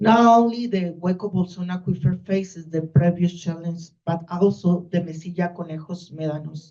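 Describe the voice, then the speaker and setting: A woman's somewhat breathy, fairly low voice with a dark, mellow tone, fairly even intonation and hardly any pauses. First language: Spanish. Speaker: university researcher. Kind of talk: conference talk. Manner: slow.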